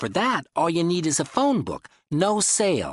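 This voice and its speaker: A man uses a put-on character voice, pitched high. His pitch swings very widely. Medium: read story. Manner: gruff, dismissive.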